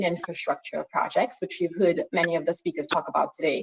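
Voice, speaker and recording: A woman with a Trinidadian accent talks at a fairly quick pace. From Trinidad and Tobago. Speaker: environmental consultancy head, panelist. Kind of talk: online panel presentation with slides. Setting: online video call. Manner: frequent fillers and repetitions.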